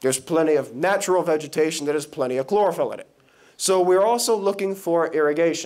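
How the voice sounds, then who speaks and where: Talking at a very fast pace, the man has a high-pitched voice. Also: ordinary pitch variation. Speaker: engineering student. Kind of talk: presentation.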